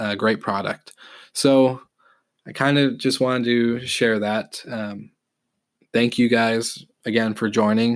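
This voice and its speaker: Very slow and monotone, a man with a medium pitch and flat intonation speaks on a very clean recording with a silent background. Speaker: podcast host, hospitality consultant. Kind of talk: casual solo podcast talk. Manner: halting, many fillers.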